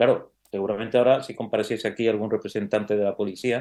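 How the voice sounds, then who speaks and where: Speaking very fast in an Andalusian accent, a man uses a fairly low pitch. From Andalusia, Spain. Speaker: criminal lawyer and university professor. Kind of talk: interview conversation. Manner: hesitant, many fillers.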